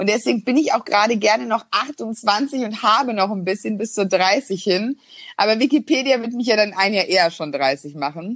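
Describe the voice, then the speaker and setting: A woman speaks in a normal speaking voice, fairly high in pitch. Her intonation is lively and her pace moderate. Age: 20s. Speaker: business journalist and author. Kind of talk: casual interview.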